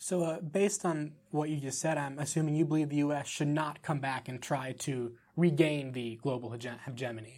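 A normal speaking voice from a man, fairly high-pitched, at a moderate pace with hardly any pauses and ordinary pitch variation, on a very clean recording with a silent background. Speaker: student podcast host. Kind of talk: interview questions.

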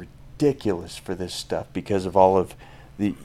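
In a plain, everyday voice, a man with a fairly low pitch talks at a moderate speed. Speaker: brand founder. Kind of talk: casual interview chat.

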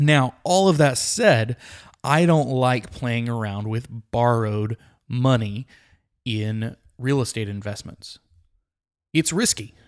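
A man with a Texan accent at a medium pitch, ordinary pitch variation, a very slow pace and long, frequent pauses, on a very clean recording with a silent background. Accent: Texan American. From Texas, Midland. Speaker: podcast host, real estate agent. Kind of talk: solo advice podcast, answering listener questions. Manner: casual with frequent fillers.

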